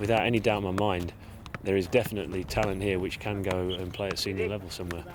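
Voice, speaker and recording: Over noticeable background noise and audible room echo, a man with a very deep, low pitch talks at a very fast pace in a monotone, flat intonation. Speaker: football coach. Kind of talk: interview.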